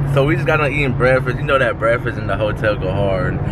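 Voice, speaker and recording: A man speaks with a dry sound and no echo over loud background noise. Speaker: family vlogger. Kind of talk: casual vlog chat. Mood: relaxed, laughing. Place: car. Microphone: phone near.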